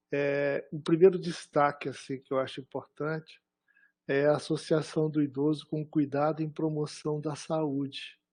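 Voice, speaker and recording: A man's fairly high-pitched voice, dark and mellow in tone, against a quiet background. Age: 60s. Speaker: professor, thesis examiner. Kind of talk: academic thesis defense feedback.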